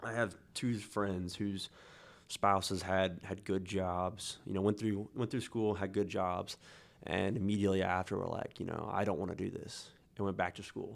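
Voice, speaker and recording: In a Midwestern American accent, the speaker delivers a monotone, flat intonation on a very clean recording with a silent background. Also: man, fairly low pitch for a man, moderate pace. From Kansas, Newton. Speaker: author and electrician. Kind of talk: casual interview.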